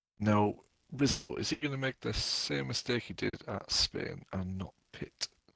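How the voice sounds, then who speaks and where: Fairly low in pitch, a man with a northern English accent speaks at a fairly slow pace with very wide pitch swings. The sound is dry and close with no echo. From northern England. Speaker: esports race commentator. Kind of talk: live commentary.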